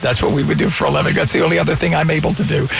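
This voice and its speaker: A man speaking, with music in the background. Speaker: radio news talk show host. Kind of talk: news radio talk interview.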